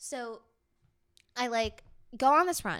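A woman with an American accent speaks in a bright, sharp, animated tone with ordinary pitch variation. The recording is very clean, the background silent. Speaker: podcast co-host. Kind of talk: casual banter. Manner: animated, chatty.

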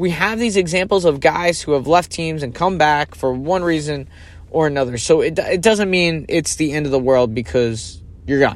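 This man has an ordinary speaking voice with a fairly high pitch. His pitch variation is ordinary and his pace moderate. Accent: American. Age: 30s. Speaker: podcast host. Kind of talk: solo podcast commentary. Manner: casual, conversational.

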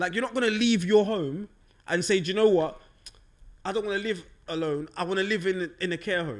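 In a South London accent, a man with a high pitch talks at a fairly quick pace with ordinary pitch variation, broken by long, frequent pauses. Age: 30s. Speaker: podcast host. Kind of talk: casual chat.

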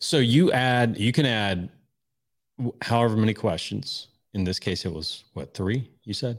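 A man's ordinary speaking voice, medium in pitch, with lively intonation at a fairly slow pace. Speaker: podcast host, persuasion and sales. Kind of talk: casual conversational podcast chat.

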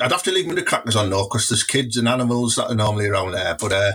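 Someone with a Teesside accent talks at a very fast pace. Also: man. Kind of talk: casual chat. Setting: studio. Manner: animated.

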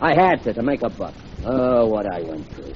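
Someone with a Brooklyn accent talks over noticeable background noise. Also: man. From Brooklyn, New York. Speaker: radio drama character, language teacher. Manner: excitable, shouty when agitated.

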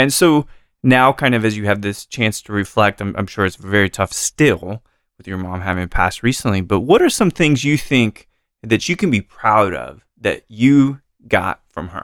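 Heard in a dry, close sound with no echo, a man with an unremarkable speaking voice and fairly low pitch talks at a moderate pace with lively intonation. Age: 40s. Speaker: podcast host. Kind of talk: casual chat; scripted narration.

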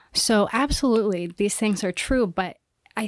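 A woman with an American accent speaks in an ordinary speaking voice, her pitch fairly high and her intonation lively. The recording is very clean, with a silent background. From Iowa, US Midwest. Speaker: cinematographer and filmmaker. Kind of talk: interview.

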